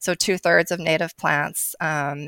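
A woman talks in an ordinary speaking voice. The sound is dry and close, with no echo. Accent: American. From New Jersey. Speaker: garden editor. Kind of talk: casual chat. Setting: video call.

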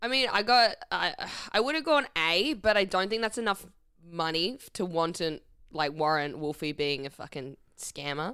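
A woman with an Australian accent speaks at a moderate pace in a medium pitch, her bright, sharp tone rising and falling through very wide pitch swings. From Perth, Western Australia. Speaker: comedian. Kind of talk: casual chat.

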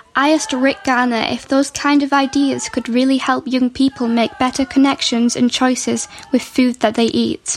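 Through noticeable background noise, a woman's high voice comes at a moderate pace. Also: ordinary pitch variation, hardly any pauses. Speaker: podcast host and youth food ambassador. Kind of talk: podcast narration and interviews. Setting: outdoors at a festival.

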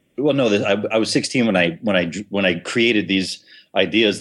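At a fairly quick pace, a man with an American accent speaks at a fairly low pitch, using ordinary pitch variation. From Minnesota. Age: 50s. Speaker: enzyme company founder and endurance athlete. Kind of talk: interview. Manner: halting, many repetitions and fillers.

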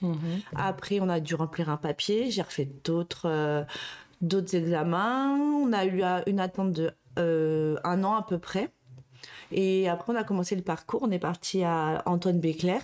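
A woman speaks at a fairly slow pace with very even loudness and a fairly low pitch. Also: ordinary pitch variation. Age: 30s. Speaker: childcare worker and mother. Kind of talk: interview testimony. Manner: halting, many fillers.

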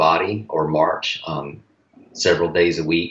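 This man has a Southern US accent. His pace is fairly slow. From North Carolina. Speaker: strength coach. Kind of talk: casual chat. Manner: halting.

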